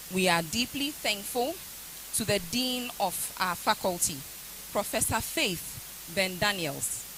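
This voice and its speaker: With a Ghanaian accent, a woman speaks very slowly at a medium pitch with lively intonation. Her loudness stays very even, and the background noise is noticeable. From Ghana, Akuapem. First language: Akuapem Twi. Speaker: university lecturer. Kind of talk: vote of thanks speech. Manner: formal.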